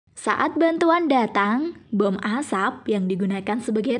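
With lively intonation, a woman speaks at a fairly slow pace.

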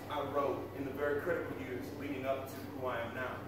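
Strong room echo and noticeable background noise fill the recording as a man talks at a moderate pace. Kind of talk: stage banter introducing songs. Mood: reflective, then humorous. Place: cafe.

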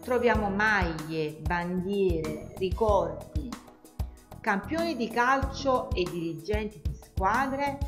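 Music plays in the background as a woman speaks at a very slow pace. She leaves long, frequent pauses. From Naples, Italy. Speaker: tour guide. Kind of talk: travel guide narration.

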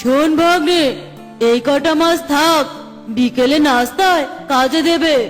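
Clear music plays in the background behind a cartoonish character voice. The pace is fairly slow. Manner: gruff, bullying.

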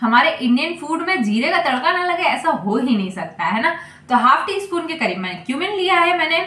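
A woman speaks in a raised, projected voice at a moderate pace, with hardly any pauses. Room echo can be heard. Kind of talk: cooking tutorial. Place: kitchen. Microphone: phone near.

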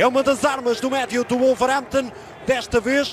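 An animated man with a European Portuguese accent at a fairly quick pace, amid noticeable background noise. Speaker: football commentator. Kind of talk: live football commentary. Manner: animated, fast-paced play-by-play that surges on chances and goals.

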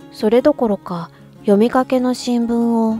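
Music plays in the background as the voice moves at a fairly slow pace. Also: woman. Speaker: voice actor / narrator. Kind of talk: literary audiobook reading, calm narration.

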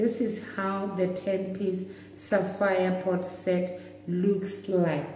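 A woman talks with audible room echo and light background noise. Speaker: presenter. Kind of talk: live product demonstration. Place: shop. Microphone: phone near.

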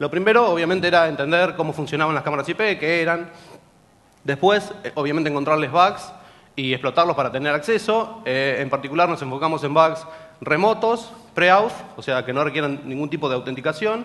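A man talks at a fairly quick pace and a fairly high pitch, with ordinary pitch variation. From Argentina, General Pico, La Pampa; La Pampa, Argentina. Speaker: security researcher; presenter. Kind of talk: conference talk. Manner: fast. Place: hall.

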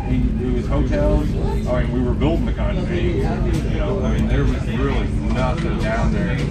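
A man speaks at a moderate pace with music playing in the background. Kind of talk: casual reminiscing conversation. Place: train. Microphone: phone near.

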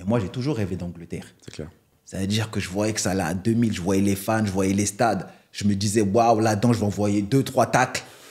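In a normal speaking voice, a man talks at a fairly quick pace, his pitch fairly low and his intonation fairly even, against a quiet background. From Cameroonian family, raised in France. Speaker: retired footballer; guest. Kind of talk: interview. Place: studio. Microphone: studio mic.

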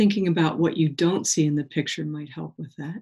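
A woman speaks low for a woman at a fairly quick pace, her slightly mellow tone carrying a slightly husky edge and ordinary pitch variation.

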